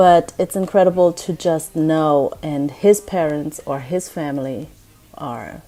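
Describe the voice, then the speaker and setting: The voice carries a German accent and a dark, mellow tone. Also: woman. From Germany. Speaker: vlogger. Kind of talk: casual vlog. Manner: hesitant, many fillers.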